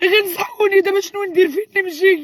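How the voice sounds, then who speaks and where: A woman speaks with a Moroccan accent. Noticeable background noise is present. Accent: Moroccan Arabic (Darija). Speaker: vlogger. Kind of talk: casual chat to viewers.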